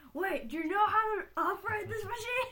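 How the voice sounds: A gruff, extremely high put-on character voice at a moderate pace, with clear background noise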